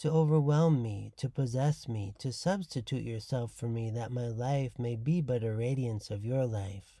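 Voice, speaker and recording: A man's unremarkable speaking voice at a fairly slow pace, with ordinary pitch variation, on a very clean recording with a silent background. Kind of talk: devotional teaching podcast with prayer readings; fervent prayer, read aloud reverently. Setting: studio podcast recording. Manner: solemn, reverent, slow and contemplative in prayer; warm, formal, teacherly.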